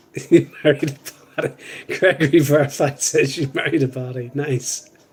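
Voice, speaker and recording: A man speaks with a Northern Irish accent at a moderate pace. His voice is somewhat breathy and fairly high, with monotone, flat intonation. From Northern Ireland. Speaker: live stream co-host. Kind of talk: casual chat. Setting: live stream.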